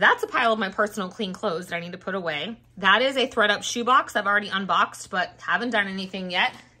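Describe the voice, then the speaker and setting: A woman speaks at a very fast pace. Her tone is bright and sharp. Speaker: YouTube reseller vlogger. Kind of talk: casual vlog. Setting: at home.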